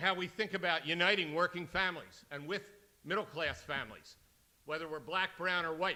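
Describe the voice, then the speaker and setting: Here a man with an American accent talks at a fairly quick pace in a high pitch with a bright, sharp tone. His intonation is fairly even. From US, Philadelphia. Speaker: union leader. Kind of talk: keynote speech.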